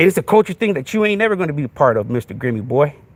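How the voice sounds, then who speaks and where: Heard in a dry, close sound with no echo, a man with vocal fry and a fairly high pitch talks fairly quickly with very wide pitch swings. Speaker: podcast host. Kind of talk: livestream rant. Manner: animated; repetitive filler, halting.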